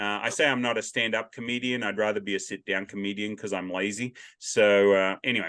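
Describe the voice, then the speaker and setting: A man speaks at a fairly quick pace with an Australian accent. His pitch is fairly low. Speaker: podcast host. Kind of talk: casual interview chat. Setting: video call. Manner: loud, carrying voice.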